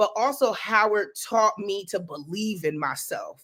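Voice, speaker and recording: A fairly high-pitched woman's voice in an American accent, animated and bright with a sharp edge, at a fairly slow pace on a very clean recording with a silent background. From New Jersey. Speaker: educator and professor. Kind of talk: casual interview chat.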